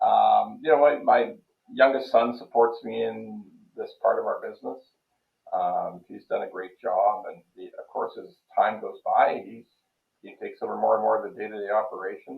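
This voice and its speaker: Speaking at a moderate pace with a Canadian accent, a man shows big swings in loudness. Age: 60s. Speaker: mortgage broker. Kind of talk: interview conversation.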